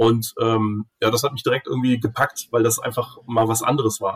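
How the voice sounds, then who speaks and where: A somewhat breathy man at medium pitch and a fairly quick pace, dry and close with no echo. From Germany, Cologne. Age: 40s. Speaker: grid regulation expert. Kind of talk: casual interview.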